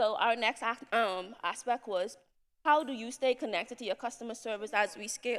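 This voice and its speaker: At a fairly quick pace, a woman's fairly high voice shows ordinary pitch variation and big swings in loudness. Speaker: entrepreneur, summit attendee. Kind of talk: presentation to audience. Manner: fast.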